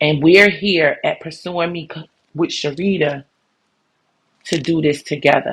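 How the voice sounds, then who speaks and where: At a fairly slow pace, a woman talks in a somewhat breathy, fairly low voice with fairly even intonation, big swings in loudness, and long, frequent pauses. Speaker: podcast host. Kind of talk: motivational podcast monologue. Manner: warm, encouraging. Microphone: new microphone system, may sound different.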